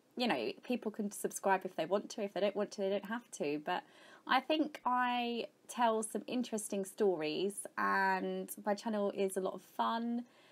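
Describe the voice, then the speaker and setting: A woman speaks with an English accent at a medium pitch, a moderate pace and ordinary pitch variation. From England, Kent. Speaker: gaming YouTuber. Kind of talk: casual vlog Q&A.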